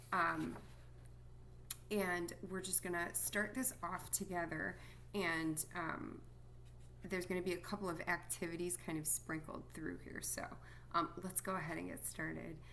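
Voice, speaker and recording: Woman's voice with long, frequent pauses, audible room echo and noticeable background noise. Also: fairly slow pace. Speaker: music teacher. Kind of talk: recorded lesson for students. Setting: at home. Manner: quiet, soft-spoken; many filler words.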